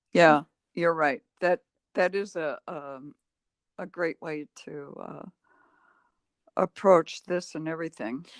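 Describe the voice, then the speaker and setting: The speaker has an American accent and talks at a very slow pace, with long, frequent pauses. Loudness swings widely while pitch varies in an ordinary way. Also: woman, fairly low pitch for a woman, dry, close sound with no echo. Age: 70s. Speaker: meditation teacher. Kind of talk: casual chat. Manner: halting.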